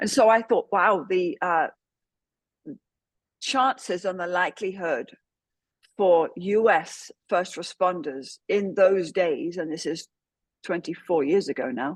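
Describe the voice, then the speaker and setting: A woman's medium-pitched voice at a very slow pace, with long, frequent pauses and ordinary pitch variation. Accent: English. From England. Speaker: trauma care trainer, former police officer. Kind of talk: podcast interview. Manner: hesitant with many fillers.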